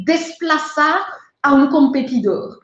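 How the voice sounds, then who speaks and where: In a strong French accent, a woman talks at a very slow pace, with audible room echo around her voice. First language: French (speaking Spanish). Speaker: trade consultant / webinar instructor. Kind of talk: webinar lecture. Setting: online webinar.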